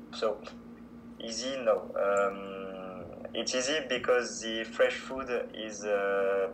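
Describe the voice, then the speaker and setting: This man speaks very slowly in a French accent. Noticeable background noise and audible room echo are present. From France. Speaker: student language exchange partner. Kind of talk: casual interview. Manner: halting.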